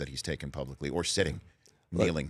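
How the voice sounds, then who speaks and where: Vocal fry runs through a man's fairly even delivery, captured in a very clean recording with a silent background. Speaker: radio/TV talk show host interviewing a guest. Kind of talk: interview questions.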